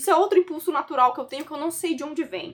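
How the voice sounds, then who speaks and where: A woman talks at a very fast pace. Her voice is high. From Brazil, São Paulo coast (São Vicente). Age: 20s. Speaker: study and language-learning content creator, university student. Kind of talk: casual self-introduction vlog.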